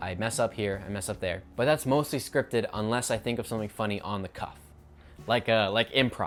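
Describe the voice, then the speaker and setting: A man's very fast delivery, with music in the background. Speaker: YouTuber. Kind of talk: unscripted casual vlog monologue. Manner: casual, self-correcting.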